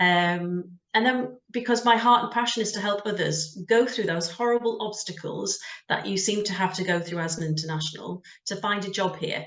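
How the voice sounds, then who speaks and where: A woman speaks with a British accent at a moderate pace. Her pitch is medium with ordinary pitch variation. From UK. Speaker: career coach, job search business owner. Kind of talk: interview.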